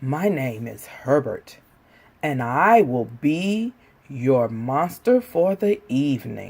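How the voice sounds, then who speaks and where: Using a breathy, put-on character voice, a man speaks at a very slow pace and a fairly high pitch. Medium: read story.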